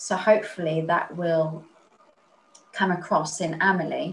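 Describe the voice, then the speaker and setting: A somewhat breathy woman's voice, fairly low in pitch, with monotone, flat intonation at a fairly slow pace. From Spain. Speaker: author. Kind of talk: interview.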